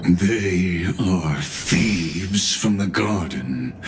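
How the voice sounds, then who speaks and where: A cartoonish character voice over clear background noise. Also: man. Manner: formal, measured, cryptic.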